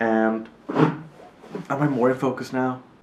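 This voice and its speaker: A man's voice with music in the background and audible room echo. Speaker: YouTuber. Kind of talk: casual vlog. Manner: fast.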